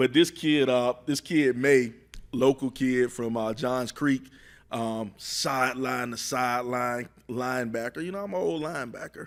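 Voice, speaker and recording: Music plays in the background as a man with a medium pitch speaks at a fairly slow pace with ordinary pitch variation. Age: middle-aged. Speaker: football analyst. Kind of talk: casual chat. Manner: halting.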